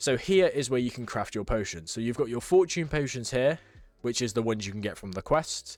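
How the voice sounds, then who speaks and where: On a very clean recording with a silent background, a man talks at a fairly quick pace and a medium pitch. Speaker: gaming YouTuber. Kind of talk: gameplay tutorial commentary. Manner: fast; casual, filler-heavy.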